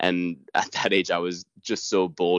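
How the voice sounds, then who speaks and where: Here a man speaks with an American accent. The sound is dry and close with no echo, against a quiet background. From United States. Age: 30s. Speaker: rally co-driver. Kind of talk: casual interview.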